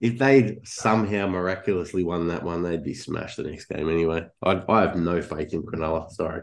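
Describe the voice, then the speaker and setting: Talking at a fairly quick pace with hardly any pauses, a man with an Australian accent has a very deep, low pitch and ordinary pitch variation. The background is quiet. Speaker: podcast co-host. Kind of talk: casual banter.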